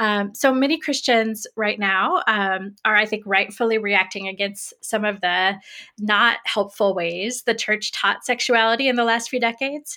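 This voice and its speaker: Captured in a very clean recording with a silent background, a bright, sharp tone in an American accent moves at a moderate pace with ordinary pitch variation. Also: woman, fairly high pitch for a woman. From US Midwest, Greenfield, Indiana. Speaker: theology professor. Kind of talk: interview conversation.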